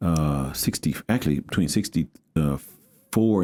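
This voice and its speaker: A man speaks in an American accent with a very deep, low pitch. His tone is dark and mellow, with ordinary pitch variation. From Houston, Texas. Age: 60s. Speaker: pastor. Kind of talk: interview. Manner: casual, halting with repetitions.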